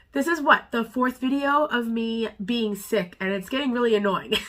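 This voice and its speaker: Against noticeable background noise, the voice moves at a moderate pace with ordinary pitch variation. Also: woman. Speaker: beauty vlogger. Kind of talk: product unboxing review. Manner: casual, chatty.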